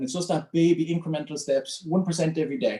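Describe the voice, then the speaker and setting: With an Irish accent, a man speaks at a fairly high pitch. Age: 30s. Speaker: mental health speaker and coach. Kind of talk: talk to a group. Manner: fast.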